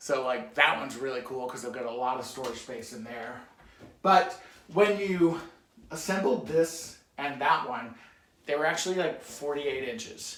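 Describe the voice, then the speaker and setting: Over noticeable background noise and audible room echo, a man with a fairly high pitch speaks with lively intonation and big swings in loudness. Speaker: DIY crafts YouTuber. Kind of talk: home tour tutorial. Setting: in his home kitchen. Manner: fast; casual, filler-heavy.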